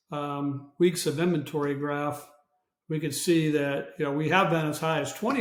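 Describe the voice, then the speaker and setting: Speaking at a moderate pace, the voice stays flat and monotone, with audible echo from the room. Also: man. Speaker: real estate agent. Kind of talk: market update video. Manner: casual, halting with fillers.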